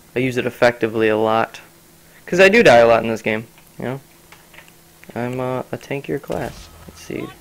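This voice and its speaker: A man speaks at a medium pitch, leaving long, frequent pauses. His loudness swings widely, with noticeable background noise behind him. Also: ordinary pitch variation, moderate pace. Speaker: gaming youtuber. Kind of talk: gameplay commentary. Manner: halting, stuttering.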